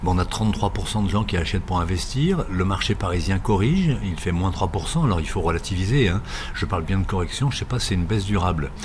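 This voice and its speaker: A man speaks very fast at a very deep, low pitch, with ordinary pitch variation. Room echo is audible, and there is noticeable background noise. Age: 60s. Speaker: real estate network executive. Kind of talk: interview.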